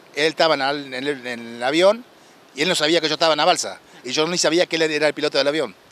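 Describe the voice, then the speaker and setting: With an Argentine accent, a man talks at a very fast pace and a fairly high pitch. The sound is dry and close with no echo, and his pitch varies in an ordinary way. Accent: Rioplatense Argentine Spanish. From Argentina, Copetonas (Buenos Aires province). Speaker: war veteran, shipwreck survivor. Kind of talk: interview testimony. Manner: halting.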